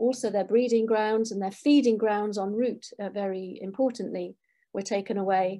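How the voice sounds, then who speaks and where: The voice has a dark, mellow tone and fairly even intonation at a moderate pace. The background is quiet. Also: woman. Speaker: guest. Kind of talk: lecture. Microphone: webcam.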